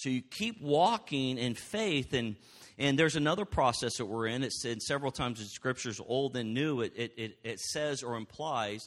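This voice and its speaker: In an ordinary speaking voice, a man talks at a moderate pace and medium pitch for a man with ordinary pitch variation. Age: 50s. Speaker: pastor. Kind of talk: sermon.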